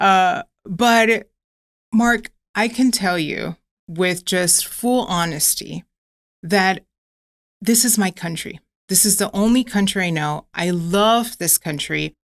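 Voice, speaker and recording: A woman with a slight Miami accent talks very slowly, with long, frequent pauses. Her pitch is medium with ordinary variation, and the sound is dry and close with no echo. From US, Miami (arrived from Ecuador at 8). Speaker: nonprofit executive, advocate. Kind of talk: podcast interview.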